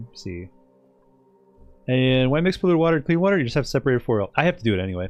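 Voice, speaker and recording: Music can be heard behind the voice. A man speaks very fast, his intonation lively. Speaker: video game streamer. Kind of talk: casual chat. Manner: rambling with frequent fillers.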